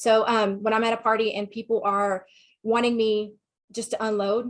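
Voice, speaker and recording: This is a woman with a Southern US accent. Her pitch is fairly high. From Texas. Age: 40s. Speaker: sex therapist and counselor. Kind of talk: webinar talk with Q&A.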